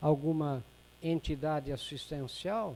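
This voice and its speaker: A man talks very slowly, his pitch fairly high. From Brazil. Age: 70s. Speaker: retired professor and author giving a talk. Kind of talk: public lecture. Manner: halting, many fillers and repetitions.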